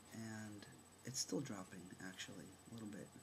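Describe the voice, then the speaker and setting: A man talks at a fairly slow pace. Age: 40s. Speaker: vlogger. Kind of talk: personal vlog testimony. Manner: animated.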